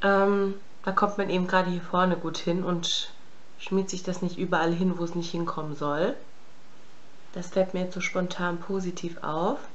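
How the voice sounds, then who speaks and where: A woman at a moderate pace, monotone and flat, with long, frequent pauses. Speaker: beauty vlogger. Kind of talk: makeup tutorial chat. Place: home room. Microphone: phone near.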